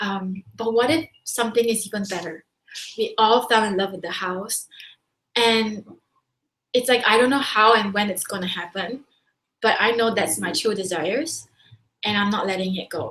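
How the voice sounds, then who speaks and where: Animated in tone, a woman with a Singaporean accent speaks at a fairly high pitch with ordinary pitch variation. She keeps a moderate pace with long, frequent pauses. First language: not English. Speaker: business coach. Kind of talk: webinar talk.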